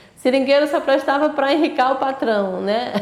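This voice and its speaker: Noticeable background noise accompanies a woman who talks at a moderate pace, her intonation lively. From Brazil, Acre (Amazon rubber region). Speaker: rubber tapper. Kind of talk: interview testimony.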